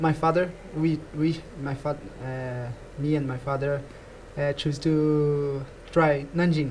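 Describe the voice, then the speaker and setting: Speaking at a very slow pace with long, frequent pauses, a man with a Portuguese accent keeps a monotone, flat intonation in a fairly high pitch. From Brazil. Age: 20s. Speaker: badminton player. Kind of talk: interview. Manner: halting.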